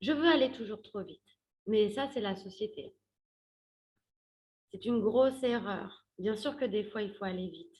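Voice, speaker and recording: Somewhat breathy and fairly high in pitch, a woman speaks fairly slowly with ordinary pitch variation, big swings in loudness and long, frequent pauses. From Paris, France. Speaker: career coach. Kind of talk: workshop talk. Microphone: different earphones, crackling mic.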